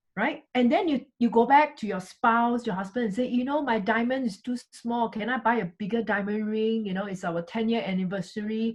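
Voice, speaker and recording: With a Singaporean accent, a woman talks at a fairly quick pace in an animated tone that is somewhat breathy. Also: fairly high pitch for a woman, ordinary pitch variation, hardly any pauses. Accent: Singaporean English (Singlish). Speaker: network marketing business leader. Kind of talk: motivational talk.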